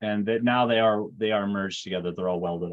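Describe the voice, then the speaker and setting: A man's very fast speech, fairly low in pitch, with ordinary pitch variation. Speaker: 3D modeling instructor. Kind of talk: tutorial.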